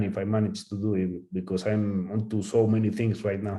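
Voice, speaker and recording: With a Spanish accent, a man speaks in a fairly low pitch and a dark, mellow tone, his intonation monotone and flat. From Spain. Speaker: calligrapher. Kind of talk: Q&A after a talk. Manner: halting.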